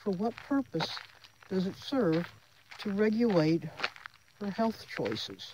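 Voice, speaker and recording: A woman with an American accent speaks at a very slow pace, her pitch medium with ordinary variation. Background noise is noticeable. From Florida. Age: 70s. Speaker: vlogger. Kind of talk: casual monologue vlog. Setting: outdoors. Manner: animated.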